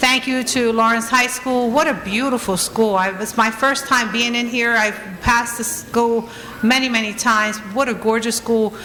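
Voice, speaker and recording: A woman talks at a moderate pace in a fairly high, monotone, flat voice. Audible room echo and noticeable background noise fill the recording. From Trenton, New Jersey, US. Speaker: honoree, business owner and community advocate. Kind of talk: award acceptance speech. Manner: halting, many fillers.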